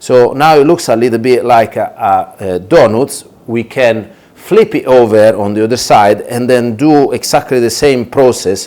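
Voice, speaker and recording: Medium-pitched male voice with an Italian accent, ordinary pitch variation and a fairly slow pace. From Italy. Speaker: chef. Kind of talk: tutorial. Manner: hesitant, many fillers.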